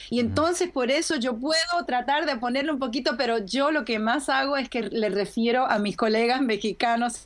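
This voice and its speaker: Lively intonation runs at a moderate pace over noticeable background noise. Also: woman. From Argentina and Puerto Rico. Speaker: voice actor. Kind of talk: interview answer.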